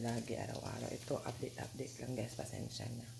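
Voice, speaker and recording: A soft-spoken voice at a moderate pace comes through audible room echo and noticeable background noise. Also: woman. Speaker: vlogger. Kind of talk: casual vlog.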